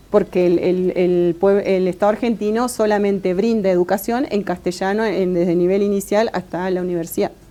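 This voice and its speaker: A woman talks at a moderate pace. Her medium-pitched voice keeps fairly even intonation. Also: hardly any pauses. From Argentina. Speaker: Mapuche academic. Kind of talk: interview. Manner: halting, many fillers and repeats.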